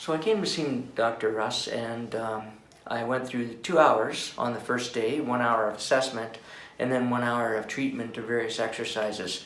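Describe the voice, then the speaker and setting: At a moderate pace and medium pitch, a man speaks with fairly even intonation, with noticeable background noise and audible room echo. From Canada (Calgary, Alberta). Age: 60s. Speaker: patient, retired school principal and veteran. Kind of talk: testimonial. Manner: hesitant, many fillers.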